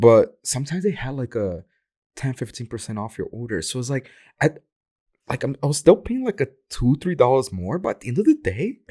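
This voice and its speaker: Speaking at a fairly quick pace with a Portuguese accent, a man uses a medium pitch with very wide swings and a dark, mellow, somewhat breathy tone, in a dry, close sound with no echo on a very clean recording with a silent background. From Brazil. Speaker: dancer. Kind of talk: casual chat.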